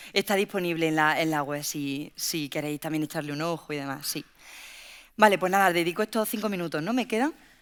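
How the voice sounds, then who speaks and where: The speech moves at a fairly quick pace with ordinary pitch variation. The recording is very clean, with a silent background. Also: woman, fairly low pitch for a woman. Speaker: workplace safety researcher. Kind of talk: panel talk. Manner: fast.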